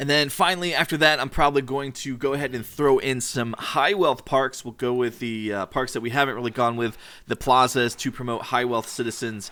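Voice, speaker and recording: Over a very clean recording with a silent background, a man with a medium pitch and a bright, sharp tone talks at a fairly quick pace with hardly any pauses and ordinary pitch variation. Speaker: gaming youtuber. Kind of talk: let's play commentary. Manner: fast.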